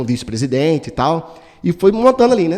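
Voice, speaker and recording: A man speaks with a dark, mellow tone. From Brazil, São Paulo state interior. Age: 40s. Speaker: political candidate. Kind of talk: interview. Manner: casual, hesitant.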